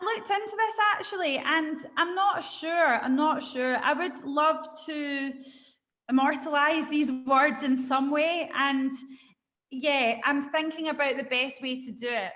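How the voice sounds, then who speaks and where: A woman with a Scottish accent speaks at a fairly slow pace in a high pitch, her tone bright and sharp, with ordinary pitch variation. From Scotland. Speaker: poet and spoken word artist. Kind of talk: interview answer.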